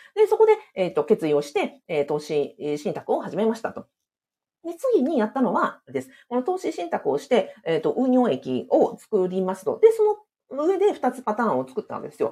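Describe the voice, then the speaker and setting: Big swings in loudness from a woman talking at a moderate pace. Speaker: former civil servant, side-business and real estate coach. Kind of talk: live-streamed solo talk. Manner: many fillers, conversational.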